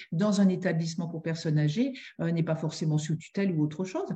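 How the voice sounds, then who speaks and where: A woman's fairly low, somewhat breathy voice with a dark, mellow tone, ordinary pitch variation and a fairly quick pace. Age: 60s. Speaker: family therapist and mediator. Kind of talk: interview. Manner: halting.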